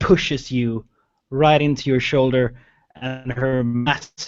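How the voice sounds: Fairly even intonation in a natural reading voice over a quiet background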